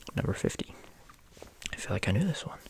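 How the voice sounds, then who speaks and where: Whispering in a relaxed tone. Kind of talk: ASMR fun-facts reading, casual talk to camera. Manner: soft-spoken, relaxed, reading facts.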